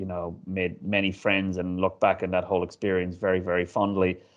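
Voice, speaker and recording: A man with an Irish accent talks at a moderate pace. His very deep, low pitch stays monotone, with flat intonation. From Ireland. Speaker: stadium CEO. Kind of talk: interview. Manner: hesitant, many fillers.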